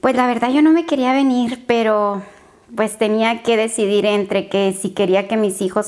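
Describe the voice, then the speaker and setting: A woman talks at a moderate pace in a plain, everyday voice. Her pitch shows ordinary variation. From Tijuana, Mexico. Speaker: beauty pageant winner. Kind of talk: interview.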